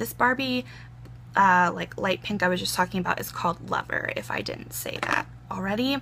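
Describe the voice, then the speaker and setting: Putting on a raspy character voice, a woman speaks at a moderate pace with clear background noise. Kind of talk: product review chat. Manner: talking very fast.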